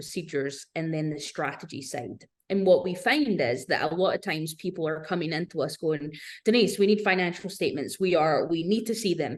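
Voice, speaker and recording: Moving at a fairly quick pace, a woman with a fairly low pitch speaks with ordinary pitch variation. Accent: British. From Scotland, Glasgow. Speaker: business owner, fractional executive consultant. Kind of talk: podcast interview.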